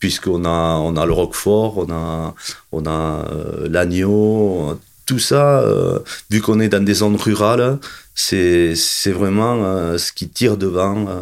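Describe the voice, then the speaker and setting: This man has a very deep, low pitch and ordinary pitch variation. He talks at a very slow pace. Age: 50s. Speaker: sheep farmer and festival organiser. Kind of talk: interview. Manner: halting, many repetitions.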